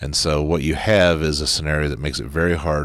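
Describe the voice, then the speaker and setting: With vocal fry and a very deep, low pitch, a man speaks at a very fast pace with fairly even intonation. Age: 60s. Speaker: politician. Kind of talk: interview.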